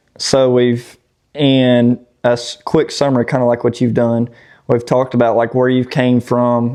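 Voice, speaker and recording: A man talks with a Southern US accent. His pitch sits in the medium range. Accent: Southern drawl. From Tennessee. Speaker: off-road YouTuber. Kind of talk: casual podcast chat. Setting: outdoors.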